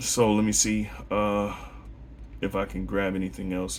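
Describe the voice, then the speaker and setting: The speaker has lively intonation and vocal fry. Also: man. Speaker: religious teacher. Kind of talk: bible lesson monologue. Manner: fast; animated.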